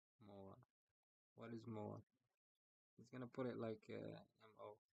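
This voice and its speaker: In a non-native accent, a man speaks at a moderate pace with big swings in loudness, the sound dry and close with no echo. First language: not English. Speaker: software developer. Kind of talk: screen-recorded coding session.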